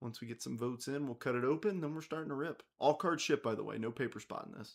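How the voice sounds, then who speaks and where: Talking at a very fast pace, a man with a fairly high pitch uses lively intonation and vocal fry. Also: big swings in loudness. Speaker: card break host. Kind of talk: live stream card break. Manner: casual, chatty.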